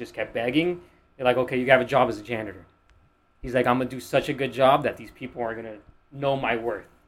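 In a Miami accent, a man talks very fast at a medium pitch with fairly even intonation and big swings in loudness, recorded very cleanly against a silent background. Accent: American, Miami. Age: 20s. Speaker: podcast guest, finance-minded entrepreneur. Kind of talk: casual chat.

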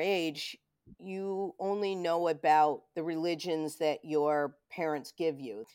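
A woman with an American accent speaks at a fairly low pitch, using ordinary pitch variation. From Rochester, New York. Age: 50s. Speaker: psychic medium and video producer. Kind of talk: casual interview chat. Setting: remote call.

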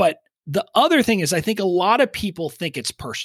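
A man speaks with a South Texas accent and lively intonation. The recording is very clean with a silent background and a dry, close sound with no echo. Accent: Southern Texas drawl. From Southern Texas. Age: 40s. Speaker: email marketing expert. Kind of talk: casual interview chat. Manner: relatable, humorous, down-to-earth.

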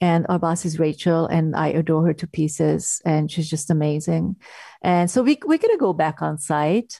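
A woman speaks at a moderate pace with a Hungarian accent, her pitch fairly low and her tone dark and mellow. The sound is dry and close, with no echo. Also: fairly even intonation. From Hungary. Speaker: actress and drama therapist. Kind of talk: casual interview. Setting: video call.

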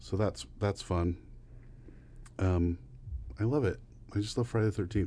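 A man speaks at a moderate pace in a dark, mellow, somewhat breathy voice with ordinary pitch variation and very even loudness. He takes long, frequent pauses against a quiet background. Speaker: podcast co-host. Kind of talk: casual chat, ranking horror movies.

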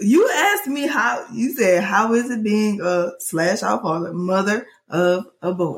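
Her voice is somewhat breathy, at medium pitch with lively intonation. The woman barely pauses. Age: 20s. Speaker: podcast co-host, mother of two. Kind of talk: casual chat.

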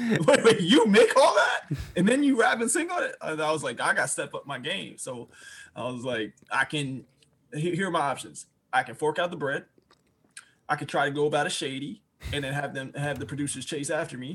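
An ordinary speaking voice, this man talks with an American accent at a fairly quick pace and a fairly high pitch, his intonation lively and his loudness swinging widely. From Washington DC. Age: 20s. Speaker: rapper and music producer. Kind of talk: casual interview.

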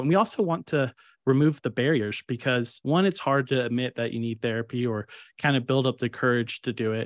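A man's medium-pitched voice in a Texan accent, at a fairly quick pace. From Kerrville, Texas. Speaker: podcast co-host. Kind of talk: casual chat.

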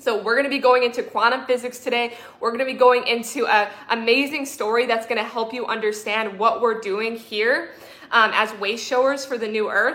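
Over noticeable background noise, a woman talks fairly quickly in a fairly high voice with monotone, flat intonation. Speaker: spiritual coach and livestreamer. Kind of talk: live-streamed spiritual talk. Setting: livestream with chat, camera on tripod.

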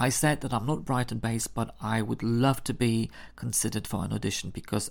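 Someone with a Polish accent speaks at a fairly quick pace. The recording is very clean, with a silent background. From Poland. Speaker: podcast host and theatre maker. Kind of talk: solo storytelling podcast.

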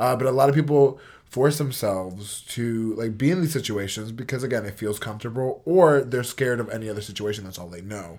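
A man with an American accent and medium pitch, a normal speaking voice at a fairly quick pace with hardly any pauses, ordinary pitch variation and big swings in loudness, on a very clean recording with a silent background. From New York (Port Chester). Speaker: podcast co-host. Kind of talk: casual chat.

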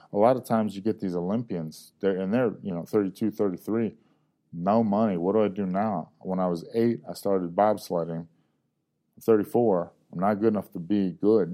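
A man with a plain, everyday voice talks at a moderate pace, his pitch fairly low and his intonation fairly even. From US South, Georgia. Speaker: UFC fighter. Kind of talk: casual interview chat.

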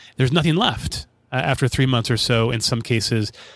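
The speaker talks at a fairly quick pace with an American accent and ordinary pitch variation. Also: man. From Nebraska, US Midwest. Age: 40s. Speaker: podcast host. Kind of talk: casual chat.

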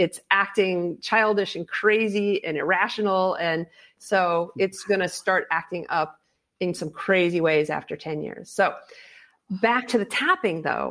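An unremarkable speaking voice from a woman at medium pitch, on a very clean recording with a silent background. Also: ordinary pitch variation, fairly slow pace. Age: 50s. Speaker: fear expert and author, former pro extreme skier. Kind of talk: interview.

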